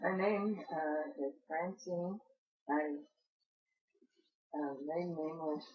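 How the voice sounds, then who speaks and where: With an American accent, a woman talks at a very slow pace in a fairly low pitch, using ordinary pitch variation and long, frequent pauses. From southern Illinois (Palestine, from age 3). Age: 80s+. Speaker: local elder interviewee. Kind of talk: oral history interview. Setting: in her home. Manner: halting, many hesitations.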